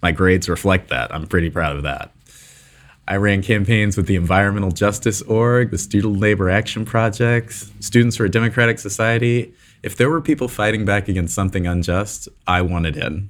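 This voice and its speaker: At a fairly quick pace, a man talks in a plain, everyday voice, fairly low in pitch with ordinary pitch variation. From New Jersey (Newark). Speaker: podcast host. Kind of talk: scripted narration.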